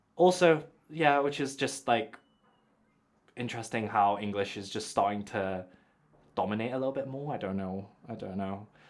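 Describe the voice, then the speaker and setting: With a British accent and lively intonation, a man of medium pitch talks at a moderate pace with long, frequent pauses on a very clean recording with a silent background. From UK. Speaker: podcast host. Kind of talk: casual chat.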